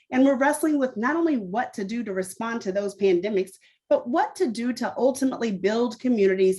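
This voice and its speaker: A woman speaks with lively intonation. Her pitch is high. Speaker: nonprofit founder and CEO, keynote speaker. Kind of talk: keynote speech. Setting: luncheon event, in person and streamed. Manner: fast.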